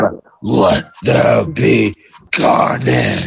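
A man performs a put-on character voice. It sounds raspy. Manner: menacing.

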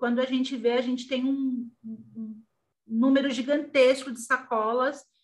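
A woman speaks at a fairly slow pace in a high pitch, her intonation fairly even. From Brazil, São Paulo. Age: 40s. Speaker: fashion designer and small business owner. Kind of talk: interview.

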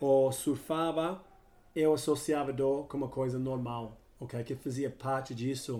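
The man's voice has a dark, mellow tone. He takes a fairly slow pace. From Australia. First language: English (speaking Portuguese). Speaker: chiropractor, health coach. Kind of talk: interview. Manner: halting, non-native Portuguese.

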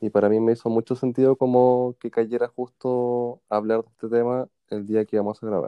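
Speaking in a Chilean accent, a man keeps a monotone, flat intonation at a medium pitch, moving at a moderate pace with hardly any pauses. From Chile, Puente Alto (Santiago). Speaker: podcast co-host. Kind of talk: casual chat.

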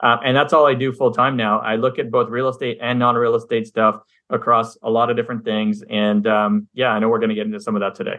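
Rushing along at a very fast pace with hardly any pauses, a man speaks in a monotone, flat intonation. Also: medium pitch for a man. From Montreal, Canada. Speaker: passive real estate investor. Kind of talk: interview.

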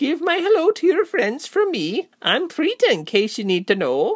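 This is a put-on character voice pitched high. It moves at a moderate pace. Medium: read story. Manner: chatty, crooning, cheerful.

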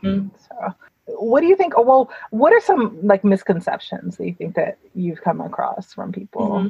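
Speaking at a moderate pace, a woman with an American accent shows big swings in loudness. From New York. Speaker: podcast host. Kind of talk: casual interview.

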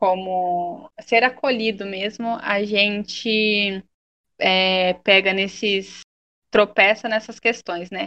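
Her voice bright and sharp, a woman of medium pitch speaks at a very slow pace in a monotone, flat intonation. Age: 20s. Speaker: social worker. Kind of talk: interview.

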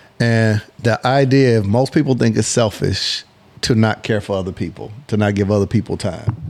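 This man has a plain, everyday voice, pitched fairly low. He talks at a moderate pace with ordinary pitch variation. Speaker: business consultant. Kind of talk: casual chat.

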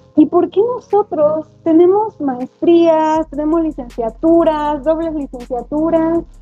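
Over music in the background, the speaker goes at a very slow pace with hardly any pauses and ordinary pitch variation. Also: woman, extremely high pitch for a woman. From Mexico, Atlixco, Puebla. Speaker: primary school teacher. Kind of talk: interview conversation.

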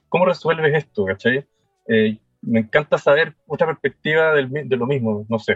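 Music plays in the background as a man with a Chilean accent speaks at a moderate pace and medium pitch, his pitch varying in an ordinary way. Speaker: woodworking teacher. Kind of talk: casual chat.

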